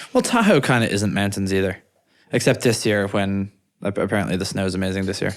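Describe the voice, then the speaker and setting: A man with an Irish accent talks at a very fast pace. His pitch is fairly low, and his intonation stays fairly even. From Ireland. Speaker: podcast co-host, startup founder. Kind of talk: casual chat. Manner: halting, repeats words.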